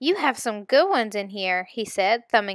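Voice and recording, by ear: The speaker is reading aloud in a natural voice. The delivery stays unforced throughout.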